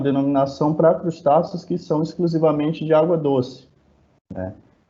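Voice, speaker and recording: Here a man speaks in a northeastern Brazilian accent at a fairly high pitch. His pace is moderate. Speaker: biologist researcher. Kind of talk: lecture.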